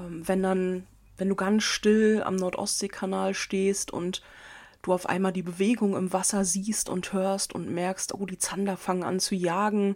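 Monotone, flat intonation with a rather slow delivery. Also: woman, medium pitch for a woman. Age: 30s. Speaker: podcast host, angler. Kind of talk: casual monologue. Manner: casual, many filler sounds.

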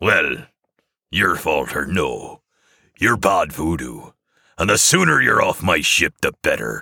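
In a put-on character voice, a man growls in a raspy tone at a fairly slow pace with long, frequent pauses, recorded dry and close with no echo. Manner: growling.

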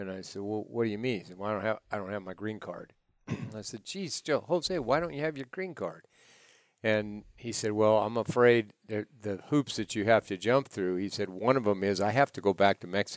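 A man with a normal speaking voice and fairly low pitch talks at a moderate pace, with ordinary pitch variation and big swings in loudness, recorded dry and close with no echo. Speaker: ranch owner or employer. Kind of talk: casual storytelling.

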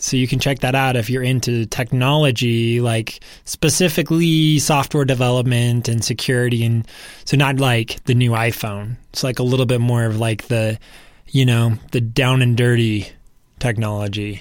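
In a very clean recording with a silent background, a man with an unremarkable speaking voice talks at medium pitch and a moderate pace, with fairly even intonation and very even loudness. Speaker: podcast guest co-host; professional podcaster. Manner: casual, chatty, frequent filler words.

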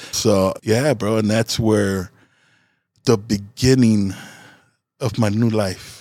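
A man with a dark, mellow tone speaks at a very slow pace. His intonation stays fairly even, with long, frequent pauses. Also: fairly low pitch for a man. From Chicago South Side, West Englewood. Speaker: former gang member sharing testimony. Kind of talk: testimony. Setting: studio. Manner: casual, frequent 'bro' and 'man'.

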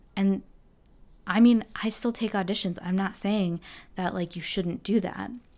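A woman speaks at a fairly slow pace with long, frequent pauses. Her medium-pitched voice has a dark, mellow tone and fairly even intonation. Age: 30s. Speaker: flutist and mindset coach for musicians. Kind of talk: solo podcast monologue. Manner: casual, with many fillers.

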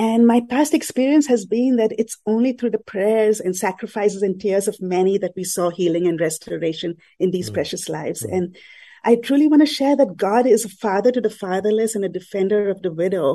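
In a medium-pitched, dark and mellow voice, a woman speaks fairly quickly with lively intonation. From India, Mumbai. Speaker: missionary. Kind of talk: radio interview. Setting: studio. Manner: halting.

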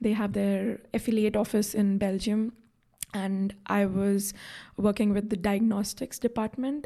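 This woman's voice has a medium pitch and a dark, mellow tone, delivered in a monotone, flat intonation at very even loudness on a very clean recording with a silent background. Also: fairly slow pace. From India. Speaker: health economics graduate student. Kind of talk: interview. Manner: hesitant with fillers.

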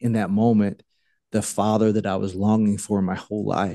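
Fairly low in pitch, a man with an American accent speaks in a dark, mellow tone. His intonation is fairly even, over a quiet background. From US South, small-town South Carolina. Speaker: pastor and evangelist. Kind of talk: testimony. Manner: halting, many fillers.

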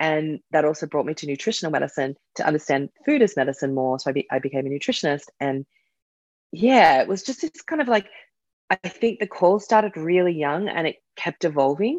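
In an Australian accent, a woman speaks fairly quickly at a very deep, low pitch with lively intonation. The sound is dry and close with no echo, over a quiet background. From Australia, suburban Sydney. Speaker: herbalist and author. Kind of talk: casual chat.

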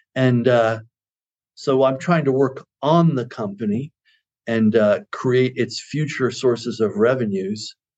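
A man speaks in a plain, everyday voice. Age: 60s. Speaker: consultancy CEO. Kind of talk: interview.

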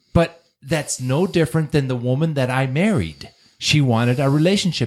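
With lively intonation, a man talks at a moderate pace in an ordinary speaking voice of medium pitch. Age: 50s. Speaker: divorced father. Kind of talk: casual chat.

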